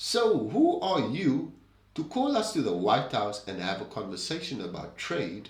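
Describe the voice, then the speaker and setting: The speaker has a South African accent and moves at a fairly slow pace. Pitch swings very widely, and room echo is audible. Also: man, fairly high pitch for a man. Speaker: political commentary host. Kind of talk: opinion commentary monologue.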